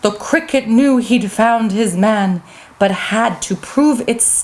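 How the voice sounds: Natural reading voice with pitch that shifts in an ordinary way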